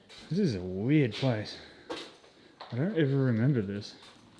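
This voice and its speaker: Audible echo from the room hangs around the voice. The speaker is a man. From Australia. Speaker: YouTuber exploring abandoned places. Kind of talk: casual vlog walkthrough. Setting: outdoors, abandoned wildlife park.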